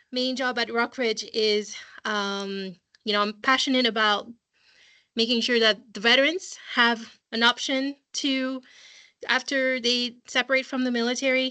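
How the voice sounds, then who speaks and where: A woman's bright, sharp, high-pitched voice at a fairly slow pace, with a quiet background. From France. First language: French. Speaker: school college counseling assistant. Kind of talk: online parent information session. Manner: hesitant, many fillers.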